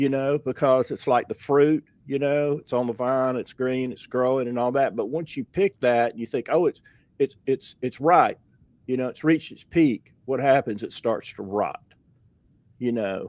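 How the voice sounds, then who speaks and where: A medium-pitched man's voice with a Southern US accent. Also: ordinary pitch variation, moderate pace, dry, close sound with no echo. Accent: Southern US (Georgia). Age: 60s. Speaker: podcast host, painter. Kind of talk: casual interview chat. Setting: studio.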